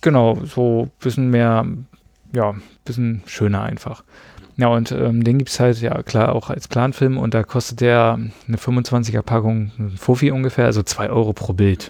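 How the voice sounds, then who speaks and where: A man's dark, mellow voice sits at a medium pitch with fairly even intonation. The background is quiet. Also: moderate pace. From northeast Germany (Greifswald, coast). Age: 20s. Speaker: photographer, trained chef. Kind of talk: casual chat. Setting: home recording with four people.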